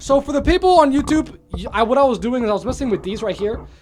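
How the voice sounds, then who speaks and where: A man speaks at a very fast pace with an extremely high pitch. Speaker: streamer reviewing a microphone. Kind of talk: product review. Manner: casual, repetitive; loud at times.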